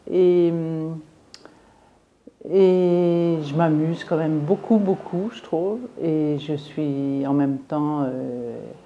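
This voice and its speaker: With a very deep, low pitch and a dark, mellow tone, a woman speaks with long, frequent pauses. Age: 70s. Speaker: singer and former social worker. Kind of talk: interview. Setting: filmed interview at art venue. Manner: halting.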